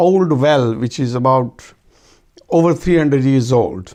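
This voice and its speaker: With a Pakistani Punjabi accent, the voice has a dark, mellow tone and ordinary pitch variation. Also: man. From Pakistan, Punjab (rural Rawalpindi). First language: Urdu/Punjabi. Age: 60s. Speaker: oral history interviewee. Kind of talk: oral history interview. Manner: halting, many fillers.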